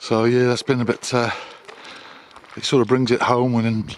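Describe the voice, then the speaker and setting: A man talks at a moderate pace in a relaxed tone and a medium pitch. Noticeable background noise is present. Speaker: small business owner and vlogger. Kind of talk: casual vlog monologue. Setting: outdoors on a dog walk. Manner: relaxed with frequent hesitations.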